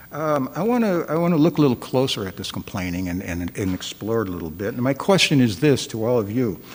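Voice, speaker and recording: Over noticeable background noise, a man with a medium pitch speaks at a moderate pace with very wide pitch swings. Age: 60s. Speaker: guest dharma speaker. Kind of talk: dharma talk. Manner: halting, many fillers and repetitions.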